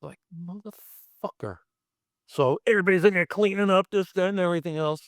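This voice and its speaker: A man with a Brooklyn accent talks at a high pitch in an animated tone, the sound dry and close with no echo. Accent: New York (Brooklyn). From Brooklyn, New York. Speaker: special effects artist. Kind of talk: casual interview storytelling.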